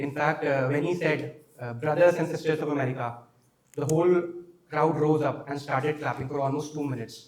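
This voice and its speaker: A man with an Indian accent speaks at a fairly quick pace. His fairly high pitch stays flat and monotone. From India, Uttarakhand. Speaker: exam candidate. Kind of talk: mock interview. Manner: hesitant, many fillers; fast.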